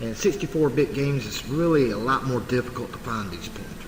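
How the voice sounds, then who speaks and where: Music plays in the background while a man with a Southern US accent speaks at a medium pitch. His tone is relaxed, and audible room echo surrounds him. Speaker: game hacking tutorial youtuber. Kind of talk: tutorial. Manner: casual, relaxed with filler words.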